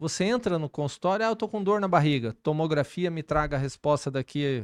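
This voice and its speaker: A plain, everyday voice from a man, fairly high in pitch, with lively intonation and a quiet background. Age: 60s. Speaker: cardiovascular surgeon and vice mayor. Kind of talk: podcast interview.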